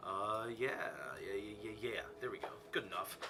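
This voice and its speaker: A man speaks over noticeable background noise. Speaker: gaming streamer. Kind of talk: casual gameplay commentary. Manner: loud; casual.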